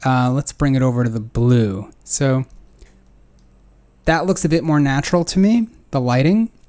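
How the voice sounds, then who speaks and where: Moderate pace in an American accent, broken by long, frequent pauses. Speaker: photography critic, channel host. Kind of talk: tutorial photo critique. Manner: casual, filler-heavy.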